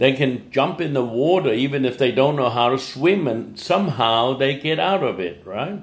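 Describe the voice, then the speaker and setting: Audible room echo surrounds a man whose medium-pitched voice has lively intonation. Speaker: English teacher. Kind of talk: motivational talk. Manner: animated.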